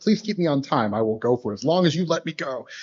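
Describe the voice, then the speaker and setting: Fairly high in pitch, a man speaks with lively intonation. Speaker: robotics researcher. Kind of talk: conference talk. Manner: fast; halting, many fillers and repetitions.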